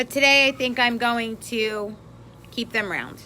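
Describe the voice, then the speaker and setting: A woman with a New York accent speaks at a high pitch in a bright, sharp tone. Her pace is fairly slow and her intonation fairly even. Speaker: craft instructor. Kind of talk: live stream craft tutorial. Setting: live video stream. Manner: chatty, greeting viewers.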